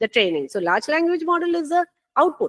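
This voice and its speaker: The speech comes at a fairly quick pace in a Keralan accent. The sound is dry and close, with no echo. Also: woman. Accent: Indian English, Malayali. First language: Malayalam. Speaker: NLP researcher, conference speaker. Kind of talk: conference talk. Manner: hesitant, many fillers.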